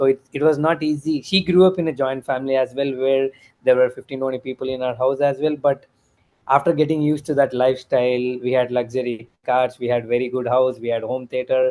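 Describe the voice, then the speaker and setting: With a normal speaking voice, this man holds a medium pitch and fairly even intonation. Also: fairly quick pace. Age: 30s. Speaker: returned emigrant, former IT worker. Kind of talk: interview.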